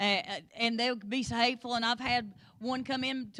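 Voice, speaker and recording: Here a woman speaks in a rural Appalachian accent. She keeps a moderate pace. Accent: rural Appalachian hillbilly. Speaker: Sunday school teacher. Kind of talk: Bible study lesson.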